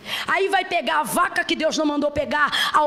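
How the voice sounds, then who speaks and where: Noticeable background noise sits behind an animated tone delivered at a moderate pace. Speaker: preacher. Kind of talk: sermon.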